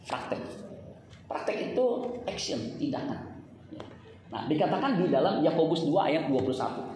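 Animated tone amid noticeable background noise, with long, frequent pauses. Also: fairly slow pace. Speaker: preacher. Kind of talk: sermon to a live congregation, with call-and-response. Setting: church with congregation. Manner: animated, exhorting, interactive.

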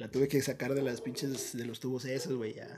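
A man's somewhat breathy, medium-pitched voice, fairly quick in pace and fairly even in intonation. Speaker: podcast co-host. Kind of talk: casual chat.

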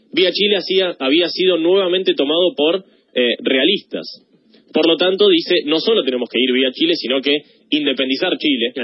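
A Rioplatense accent at a moderate pace, with ordinary pitch variation and very even loudness. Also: man, high pitch for a man. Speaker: history columnist. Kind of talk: radio biography segment.

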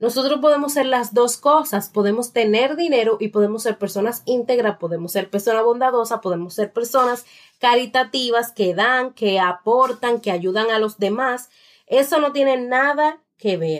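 In a normal speaking voice, a woman talks at a fairly high pitch and a moderate pace. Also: ordinary pitch variation. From Dominican Republic, La Romana. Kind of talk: book review monologue.

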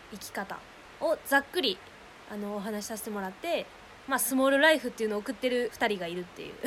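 Very fast speech in a Kansai accent, with lively intonation and big swings in loudness. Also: woman, fairly high pitch for a woman. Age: 20s. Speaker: podcaster living in a van. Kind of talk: casual chat. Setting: outdoors in a forest.

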